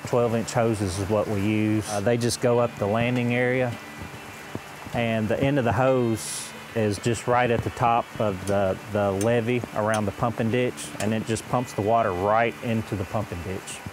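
A man speaks at a moderate pace in a monotone, flat delivery, the sound dry with no echo but with noticeable background noise. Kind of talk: interview answer. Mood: calm explanatory. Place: open country. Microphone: lapel.

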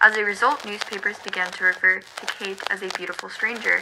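A woman's fairly quick speech comes through noticeable background noise. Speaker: vlogger. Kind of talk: history storytelling to camera. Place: home room.

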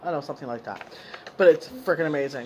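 Over noticeable background noise, a woman is speaking. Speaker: haul vlogger. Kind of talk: casual vlog chat. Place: home room. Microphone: phone near.

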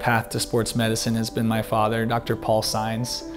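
Speech at a moderate pace comes with clear music in the background. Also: man. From Texas, San Antonio; Texas. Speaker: sports medicine doctor. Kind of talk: self-introduction. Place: studio. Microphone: lapel.

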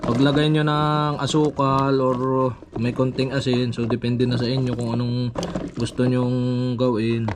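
Against clear background noise, the words come out fairly slowly. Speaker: vlogger. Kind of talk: casual vlog narration outdoors. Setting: outdoors at a farm.

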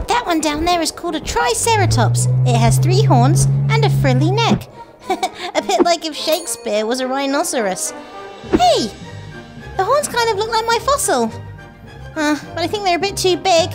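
A cartoonish character voice at a moderate pace, with clear music in the background. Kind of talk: children's show talk to camera. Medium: puppet. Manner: excited, upbeat.

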